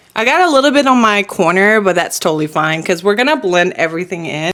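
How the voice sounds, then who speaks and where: Using an unremarkable speaking voice, a woman with an American accent speaks at a medium pitch and a moderate pace with lively intonation. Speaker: beauty vlogger. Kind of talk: makeup tutorial, casual chat. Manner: casual, chatty.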